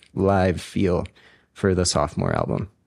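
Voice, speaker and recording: At a moderate pace, a man speaks. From Ecuador, raised in Boulder, Colorado from age ten. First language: Spanish. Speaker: musician, band frontman and singer. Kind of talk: interview.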